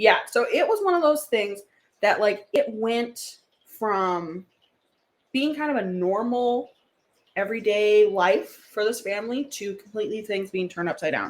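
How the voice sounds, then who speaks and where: A woman's fairly high voice at a fairly slow pace, broken by long, frequent pauses. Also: ordinary pitch variation. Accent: Wisconsin. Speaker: podcast co-host. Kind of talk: casual chat.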